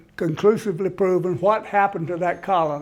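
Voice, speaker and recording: Audible room echo surrounds a man with a high pitch. He keeps a moderate pace and fairly even intonation. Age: 80s+. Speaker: history lecturer at a senior center. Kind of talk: lecture. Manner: halting, with frequent restarts.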